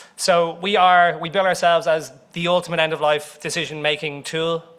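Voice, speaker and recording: A man speaks with an Irish accent at a high pitch. His tone is bright and sharp. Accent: Irish accent, speaker apologizes for it. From Ireland. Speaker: company CEO, conference speaker. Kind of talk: conference presentation. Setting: conference room with audience.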